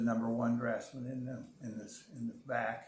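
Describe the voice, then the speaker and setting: A man with an American accent speaks in a monotone, flat intonation. His voice is somewhat breathy, at a fairly slow pace. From United States, Illinois. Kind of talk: interview answer.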